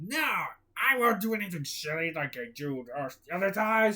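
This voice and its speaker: A man speaks in a put-on character voice at a high pitch. His pace is moderate. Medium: read story. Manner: gruff, hearty.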